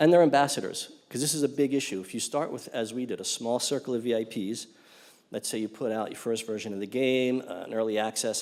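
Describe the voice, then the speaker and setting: Speaking at a very fast pace, a man uses a medium pitch with ordinary pitch variation. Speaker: game studio speaker at industry conference. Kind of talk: conference talk. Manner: many fillers like um and uh.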